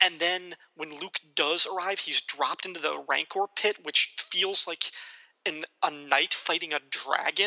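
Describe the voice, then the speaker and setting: Speaking with an American accent, a man has a high pitch and fairly even intonation at a fairly slow pace. The sound is dry and close with no echo. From US Midwest, northern Illinois. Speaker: podcast host. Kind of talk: casual chat.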